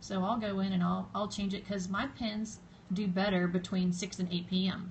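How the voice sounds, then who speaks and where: A woman with a Southern US accent speaks at a medium pitch. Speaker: social media blogger. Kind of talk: live stream tutorial. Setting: live stream video. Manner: casual, hesitant with fillers.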